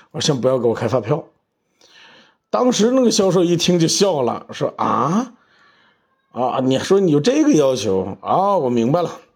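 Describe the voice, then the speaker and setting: Long, frequent pauses and very wide pitch swings from a man. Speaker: car podcast host. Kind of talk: casual monologue podcast. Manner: hesitant with many fillers and repetitions.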